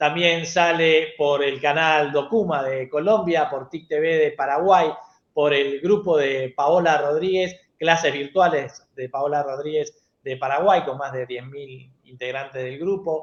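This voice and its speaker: In a plain, everyday voice, the speaker talks at a fairly slow pace with fairly even intonation. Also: man, fairly high pitch for a man, big swings in loudness. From Argentina. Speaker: TV show host, educational technology specialist. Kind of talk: panel show closing.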